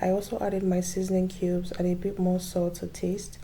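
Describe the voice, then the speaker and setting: A woman speaks at a moderate pace and medium pitch. Her tone is dark and mellow, and somewhat breathy. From Nigeria, Abia State (Igbo). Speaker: cooking vlogger. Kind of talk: cooking tutorial narration.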